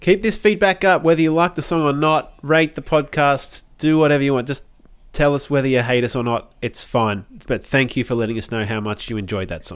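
On a very clean recording with a silent background, a man uses an ordinary speaking voice, fairly high in pitch with lively intonation. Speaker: music podcast co-host. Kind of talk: casual chat.

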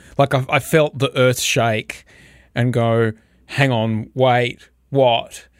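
On a very clean recording with a silent background, a man with an Australian accent talks at a very slow pace and medium pitch, his intonation monotone and flat. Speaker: podcast host. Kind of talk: casual chat.

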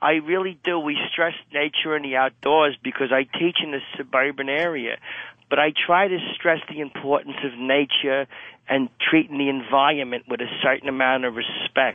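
A man speaks in a fairly high pitch with an unremarkable speaking voice. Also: fairly even intonation, moderate pace. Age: 50s. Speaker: caller. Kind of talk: radio call-in. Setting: phone call. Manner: laughing.

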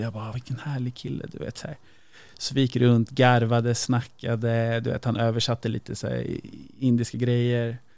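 A man talks at a fairly quick pace in a medium pitch. His intonation stays monotone and flat. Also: very clean recording, silent background. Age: 30s. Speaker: podcast guest. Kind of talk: casual chat.

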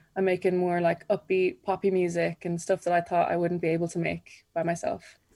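This woman has an Irish accent. Her fairly low voice has a dark, mellow tone. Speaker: singer-songwriter. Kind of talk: radio interview.

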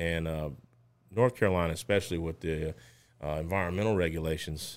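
With a Louisiana accent, a man speaks at a fairly quick pace in a very deep, low pitch, on a very clean recording with a silent background. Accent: Southern US (Louisiana). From Louisiana, Lake Charles. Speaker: safety consulting business owner. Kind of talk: interview.

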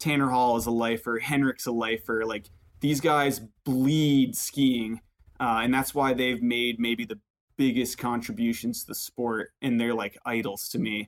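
Talking at a fairly slow pace, a man with an American accent uses a medium pitch and fairly even intonation. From Vermont, US. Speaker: professional park skier and student. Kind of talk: casual interview. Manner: halting, many fillers.

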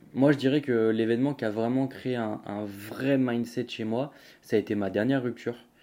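This man has a medium-pitched voice with a dark, mellow tone. He talks at a moderate pace with fairly even intonation. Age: 20s. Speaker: podcast host. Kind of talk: casual monologue. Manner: halting.

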